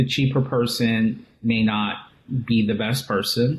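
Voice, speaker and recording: A man speaks fairly slowly in a somewhat breathy voice. His pitch is medium, with ordinary variation. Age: 40s. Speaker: image consultant and executive coach. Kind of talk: interview.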